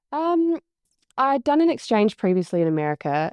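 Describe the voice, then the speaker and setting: A woman with a slight New Zealand accent speaks with fairly even intonation. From New Zealand, near Wellington. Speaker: business coach and agency CEO. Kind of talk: podcast interview.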